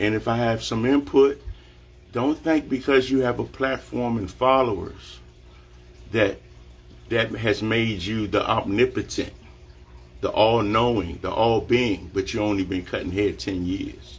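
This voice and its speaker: Somewhat breathy and pitched at a medium level with ordinary variation, a man speaks with long, frequent pauses. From Washington DC area. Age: 50s. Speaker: barber. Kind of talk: live social media monologue. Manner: animated.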